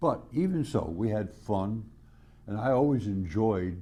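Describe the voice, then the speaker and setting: A man with a fairly low voice. His tone is dark and mellow. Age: 90s. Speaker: retired biology professor. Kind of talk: recorded video greeting. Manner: halting.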